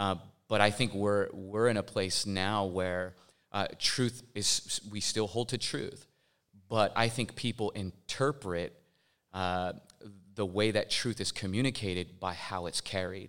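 In an American accent, a man with a plain, everyday voice speaks fairly slowly at a fairly low pitch with fairly even intonation, recorded very cleanly over a silent background. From Portland, Oregon. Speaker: pastor and hip-hop artist. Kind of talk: live panel discussion. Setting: stage with live audience.

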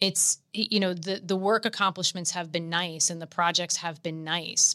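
Woman's fairly low voice in an American accent, monotone and flat, with a bright, sharp tone and a dry, close sound with no echo. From US Northeast, rural Pennsylvania near New York border. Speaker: pharmaceutical executive. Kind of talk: casual interview.

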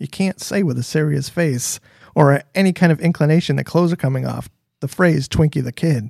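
A man talks in an ordinary speaking voice with an American accent, fairly high in pitch and at a fairly quick pace. His pitch varies in an ordinary way, and the sound is dry and close with no echo. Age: 40s. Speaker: DJ. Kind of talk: casual chat.

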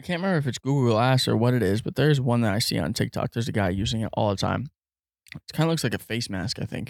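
Very fast and at a medium pitch, a man speaks in a dry, close recording with no echo, very clean and with a silent background. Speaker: podcast host. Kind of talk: casual chat. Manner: casual, swearing, conversational.

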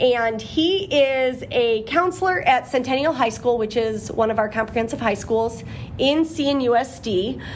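A woman speaks at a fairly slow pace in a high voice with lively intonation. Noticeable background noise runs under her. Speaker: school administrator and podcast co-host. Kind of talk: casual interview chat. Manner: laughs often.

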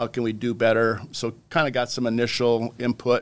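A man with a North Dakota accent speaks at a moderate pace and medium pitch. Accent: Upper Midwest (North Dakota). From southwest North Dakota. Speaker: wildlife conservation official. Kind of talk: casual interview.

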